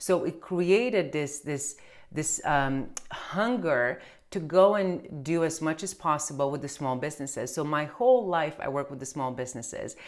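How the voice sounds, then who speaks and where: A woman speaks in a Romanian accent at a moderate pace. Her very deep, low voice carries lively intonation. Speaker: tax accountant. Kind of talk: casual chat. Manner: halting.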